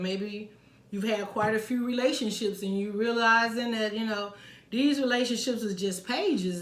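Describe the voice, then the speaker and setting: A woman with a fairly high pitch speaks fairly slowly, with audible room echo and noticeable background noise. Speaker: tarot reader. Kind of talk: tarot reading monologue.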